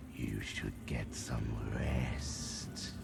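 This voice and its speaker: A man whispers in a put-on character voice over loud background noise. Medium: machinima. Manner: mocking, contemptuous.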